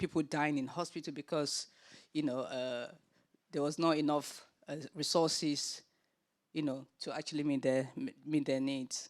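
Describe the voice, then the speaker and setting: With a Nigerian accent and a very deep, low pitch, a woman talks at a moderate pace in fairly even intonation, leaving long, frequent pauses, on a very clean recording with a silent background. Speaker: panel chair, children's charity founder. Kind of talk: panel discussion. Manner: hesitant, many fillers.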